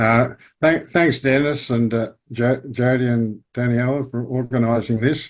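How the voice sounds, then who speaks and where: Against a quiet background, a man with an Australian accent talks at a fairly slow pace. His medium-pitched voice has monotone, flat intonation. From Australia, Victoria. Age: 80s+. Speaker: retired statistics professor. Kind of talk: interview, life story. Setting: video call. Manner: halting.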